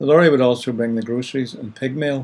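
This man speaks with a Northern Irish accent. His pitch is medium and his intonation fairly even. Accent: Northern Irish (Ulster). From Northern Ireland, County Down. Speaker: radio host. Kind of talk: radio presenting.

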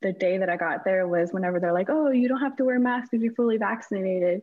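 In an American accent, a woman uses an ordinary speaking voice with a medium pitch and ordinary pitch variation. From Houston, Texas. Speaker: wrestling photographer. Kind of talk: interview.

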